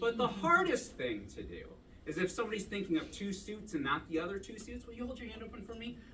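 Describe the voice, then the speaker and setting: In a raised, projected voice, the speaker races along at a very fast pace with lively intonation. Audible room echo and noticeable background noise fill the recording. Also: man, high pitch for a man. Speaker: magician performing at a club show. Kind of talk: stage magic performance with audience patter. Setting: stage with live audience. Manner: loud; casual and chatty.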